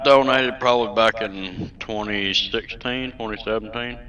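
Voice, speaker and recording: With a Southern US accent, a man of medium pitch speaks with big swings in loudness. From Southern California. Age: 50s. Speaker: gamer. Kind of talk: interview. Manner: halting. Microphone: echo.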